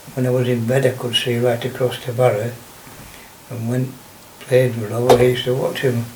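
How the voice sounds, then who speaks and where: A man at medium pitch talks with monotone, flat intonation, with audible room echo and noticeable background noise. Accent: strong Lancashire. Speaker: local elder recalling childhood. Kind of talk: oral history interview. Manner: halting.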